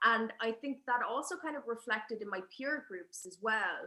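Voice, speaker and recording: A woman with an Irish accent, fairly high pitch, a bright, sharp tone, ordinary pitch variation and a fairly slow pace. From Ireland. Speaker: spoken word poet. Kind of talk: panel conversation. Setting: live event at a museum.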